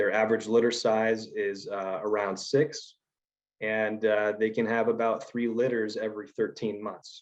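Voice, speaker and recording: The speaker has a plain, everyday voice. The pace is fairly slow. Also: man. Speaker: environmental scientist. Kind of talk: conference presentation. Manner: casual, many filler words.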